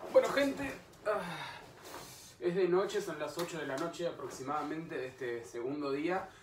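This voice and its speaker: A man with a Rioplatense accent speaks at a moderate pace with lively intonation. His voice is high-pitched, with noticeable background noise. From Argentina. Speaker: voice-over announcer. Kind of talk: casual travel vlog talk to camera. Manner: chatty, upbeat. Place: home room. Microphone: webcam.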